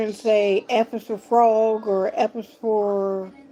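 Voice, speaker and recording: A woman with a fairly high pitch, music in the background. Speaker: talk show host. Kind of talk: talk show monologue. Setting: live stream.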